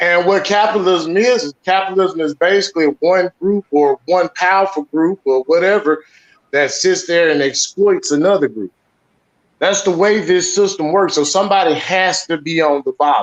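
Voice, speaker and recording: A man with an American accent speaks at a moderate pace, his high voice showing ordinary pitch variation. The sound is dry and close, with no echo. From US South, Mississippi Delta (Washington County). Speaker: debate panel participant. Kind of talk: online debate discussion.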